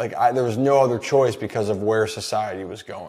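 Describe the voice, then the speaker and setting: Here a man speaks with an American accent. His pitch variation is ordinary. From Maryland. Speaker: podcast host. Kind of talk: casual interview chat.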